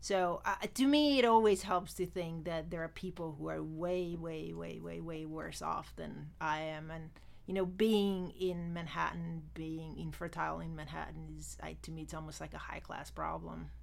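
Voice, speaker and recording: A woman speaks at a moderate pace with hardly any pauses, her loudness swinging widely. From immigrated to US at 18, non-US origin. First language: not English, learned on arrival. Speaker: former finance worker, IVF patient. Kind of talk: casual interview, personal testimony.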